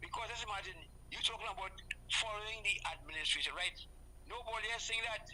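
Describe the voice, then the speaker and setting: A woman speaks, and noticeable background noise can be heard along with her. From Trinidad and Tobago. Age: 70s. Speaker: calypsonian musician. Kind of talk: live interview. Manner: halting, repetitive.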